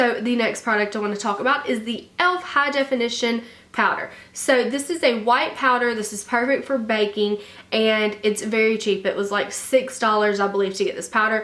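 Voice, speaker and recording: A woman with a Southern US accent, fairly high in pitch, at a fairly quick pace. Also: ordinary pitch variation. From Alabama, US. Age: 20s. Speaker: beauty vlogger. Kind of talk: casual talk to camera.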